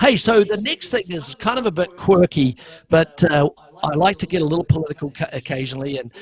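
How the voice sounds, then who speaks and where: A man with a New Zealand accent speaks at a moderate pace with lively intonation and a somewhat breathy voice. The sound is dry and close, with no echo. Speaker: talk show host. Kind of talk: casual chat.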